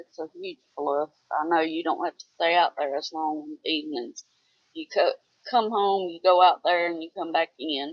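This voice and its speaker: A woman's fairly low voice in a Southern US accent, at a moderate pace with fairly even intonation and big swings in loudness. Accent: Southern twang. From US South. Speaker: homesteader. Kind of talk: casual chat.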